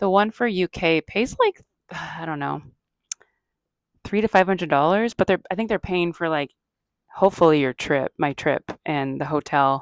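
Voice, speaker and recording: A woman with a fairly low pitch talks at a fairly quick pace, her intonation lively in a normal speaking voice. The recording is very clean with a silent background and a dry, close sound with no echo. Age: 40s. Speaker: comedian and podcast host. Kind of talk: casual chat.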